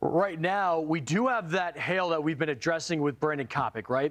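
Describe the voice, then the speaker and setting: An animated man at a fairly quick pace against a quiet background. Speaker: live news anchor. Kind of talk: live breaking weather coverage. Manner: loud.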